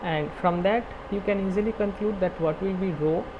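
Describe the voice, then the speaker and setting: With fairly even intonation and a moderate pace, the man's voice carries over noticeable background noise. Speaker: teaching assistant. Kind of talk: online tutorial problem-solving session.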